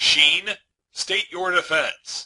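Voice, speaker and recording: A man puts on a gruff character voice. It sits at a high pitch. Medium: read story. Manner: gruff, impatient.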